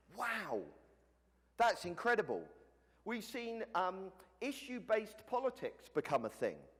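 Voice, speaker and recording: Speaking at a fairly slow pace with a British accent, a man leaves long, frequent pauses. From Britain. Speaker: conference speaker. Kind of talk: conference talk. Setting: stage with audience. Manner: casual, conversational with filler words.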